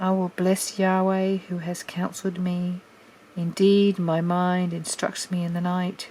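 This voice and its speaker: Relaxed and calm, a woman speaks at medium pitch and a fairly slow pace in a somewhat breathy voice. Her tone is dark and mellow, and her intonation stays monotone and flat. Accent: Australian. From Australia. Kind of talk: scripture reading. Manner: relaxed, calm.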